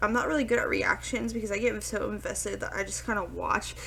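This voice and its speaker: A woman speaks quietly. Her pace is very fast. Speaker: reaction YouTuber / VTuber. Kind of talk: reaction video commentary. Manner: hesitant, filler-heavy.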